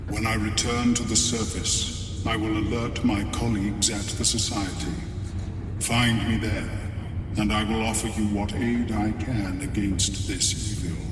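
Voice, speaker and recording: A man's put-on character voice amid loud background noise and clear echo. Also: moderate pace. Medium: machinima. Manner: measured, formal.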